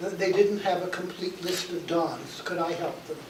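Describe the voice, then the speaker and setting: Noticeable background noise and audible room echo accompany a man whose high-pitched voice keeps a fairly even intonation. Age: 80s+. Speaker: retired university warden. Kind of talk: reunion speech. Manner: halting, repeats words.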